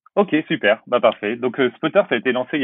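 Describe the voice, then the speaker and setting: A man at medium pitch speaks at a fairly quick pace. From western France (La Rochelle). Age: 30s. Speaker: startup co-founder. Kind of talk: interview. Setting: at home, remote call. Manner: halting, many repetitions and fillers.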